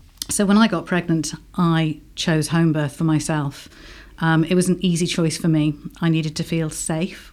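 In a very clean recording with a silent background, a woman with an English accent speaks at a fairly low pitch in a monotone, flat delivery. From England. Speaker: home birth midwife. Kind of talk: radio interview. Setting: studio.

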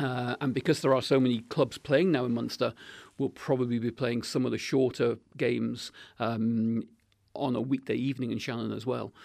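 In a very clean recording with a silent background, a man speaks at a moderate pace. His medium-pitched voice has vocal fry and fairly even intonation. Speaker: club secretary. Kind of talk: casual radio interview. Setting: studio. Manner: halting, many fillers.

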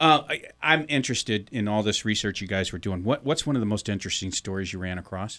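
A man with an American accent and a fairly low pitch talks fairly quickly with lively intonation, in a plain, everyday voice, in a very clean recording with a silent background. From US Midwest, St. Louis, Missouri. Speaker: podcast co-host, publisher. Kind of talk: casual chat. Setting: radio studio.

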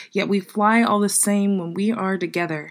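A woman's unremarkable speaking voice, medium in pitch with fairly even intonation, on a very clean recording with a silent background. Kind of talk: poetry reading of dark, original poems.

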